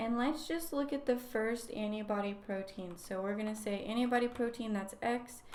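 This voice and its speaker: The woman's fairly high voice moves at a fairly slow pace with ordinary pitch variation, and room echo can be heard. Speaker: graduate student, guest lecturer. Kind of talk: lecture. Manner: casual.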